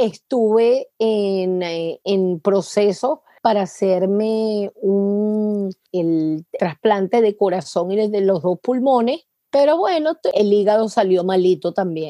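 Speaking in a Venezuelan accent, a woman with a dark, mellow tone keeps her loudness very even, uses ordinary pitch variation and hardly any pauses, in a dry, close sound with no echo. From Venezuela, Caracas. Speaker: congenital heart disease patient and foundation founder. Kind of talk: interview.

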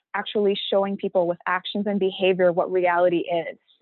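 A woman's plain, everyday voice at a medium pitch and a fairly quick pace. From Vaughan, Ontario, Canada (Pakistani-Canadian community). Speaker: youth research team member. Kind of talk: casual discussion.

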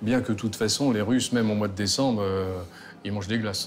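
A man speaks at a moderate pace with a fairly low pitch and ordinary pitch variation. Background noise is noticeable. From Normandy, France. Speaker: restaurant owner. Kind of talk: casual chat.

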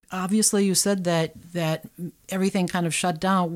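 A woman with a plain, everyday voice speaks in a medium pitch at a moderate pace. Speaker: community radio host. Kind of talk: interview. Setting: studio.

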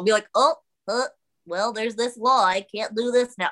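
A put-on character voice that sounds female is pitched fairly high and moves at a fairly slow pace. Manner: goofy.

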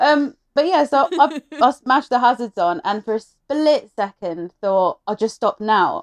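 Recorded with a dry, close sound and no echo, a woman with an English accent speaks at a moderate pace. Her high pitch makes very wide swings. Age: 30s. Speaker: truck driver. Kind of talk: casual chat.

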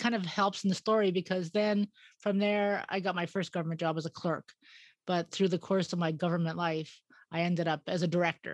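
A woman talks at a fairly quick pace in a fairly low voice, with fairly even intonation and very even loudness. The sound is dry and close with no echo, against a quiet background. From Edmonton, Alberta, Canada. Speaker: gallery owner and artist. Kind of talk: interview.

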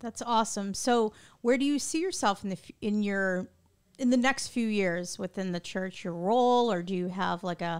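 An ordinary speaking voice from a woman, medium in pitch, at a moderate speed. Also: very clean recording, silent background. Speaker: podcast host. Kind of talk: casual interview chat. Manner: warm, friendly.

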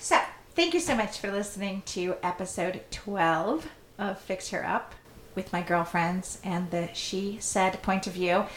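A woman puts on a raspy character voice at a medium pitch. Her intonation is fairly even and her pace moderate. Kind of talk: podcast sign-off. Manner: slow, careful.

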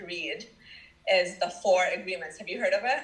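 A woman with a Michigan accent speaks at a moderate pace over noticeable background noise. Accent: Michigan American. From US Midwest, Dearborn, Michigan. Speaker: social worker and founder of a support platform. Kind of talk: casual interview chat.

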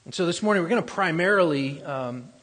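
A man's high-pitched voice carries audible echo from the room. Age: 40s. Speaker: pastor. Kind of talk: sermon. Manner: halting.

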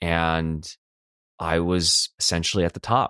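A man's very deep, low voice with an American accent, at a fairly slow pace, on a very clean recording with a silent background. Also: dry, close sound with no echo. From US West Coast, Los Angeles. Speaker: life coach. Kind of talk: personal storytelling monologue. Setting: solo recording.

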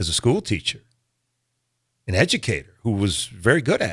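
At a moderate pace, a man with a fairly low, somewhat breathy voice speaks over a silent background in a very clean recording. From Omaha, Nebraska. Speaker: actor and comedian. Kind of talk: interview. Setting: radio studio.

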